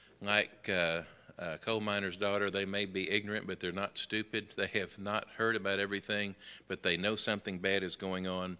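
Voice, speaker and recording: In a fairly low pitch and an American accent, a man talks at a fairly quick pace with a bright, sharp tone and monotone, flat intonation. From US South, Memphis, Tennessee. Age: 60s. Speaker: Sunday school teacher. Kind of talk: Bible lesson. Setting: church classroom. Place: church.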